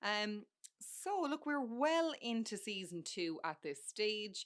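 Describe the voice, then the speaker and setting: Speaking with an Irish accent, a woman keeps a fairly slow pace. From Ireland. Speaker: podcast host. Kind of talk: casual chat. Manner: conversational with fillers.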